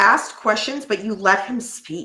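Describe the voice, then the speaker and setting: A woman's bright, sharp tone at a moderate pace. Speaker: podcast co-host. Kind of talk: casual chat.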